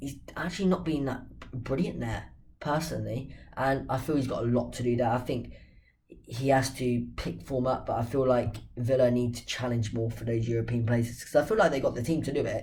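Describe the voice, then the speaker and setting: Audible room echo surrounds a man's somewhat breathy voice. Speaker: football channel host. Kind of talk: casual football talk to camera.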